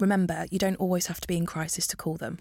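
On a very clean recording with a silent background, a woman with an East Midlands accent speaks in a dark, mellow tone. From Northampton, England. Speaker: podcast host. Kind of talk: scripted narration; casual chat. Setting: studio.

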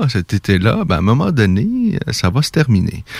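The speaker is a man. His pitch is medium. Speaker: radio host of a combat sports show. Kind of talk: radio talk show. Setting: radio studio.

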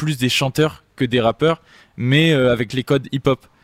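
This man has a normal speaking voice at medium pitch with fairly even intonation. The sound is dry and close, with no echo. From Marseille, southern France. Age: 20s. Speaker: singer and rapper. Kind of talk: interview. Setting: studio.

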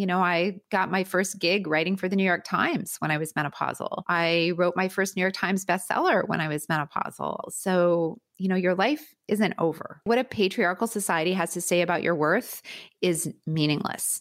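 With a Canadian accent and a normal speaking voice, a woman talks at medium pitch and a moderate pace, her intonation fairly even and her loudness very even. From Canada, Winnipeg. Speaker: gynaecologist and author. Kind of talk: interview conversation. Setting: remote call from her bedroom.

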